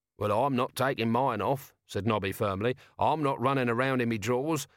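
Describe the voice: The speaker is doing plain reading aloud. The intonation is fairly even throughout.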